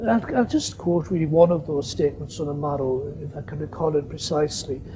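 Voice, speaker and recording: Noticeable background noise runs through the clip. It is a man talking. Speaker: theology professor. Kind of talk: lecture.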